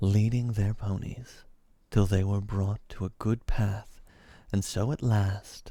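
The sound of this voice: The intonation is fairly even. It comes in an unforced reading voice.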